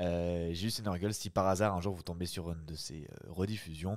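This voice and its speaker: Against a quiet background, a man with a very deep, low voice speaks fairly slowly with ordinary pitch variation. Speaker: streamer reading classic novels aloud. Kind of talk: reading aloud; casual chat. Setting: live stream. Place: home room. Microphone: studio mic.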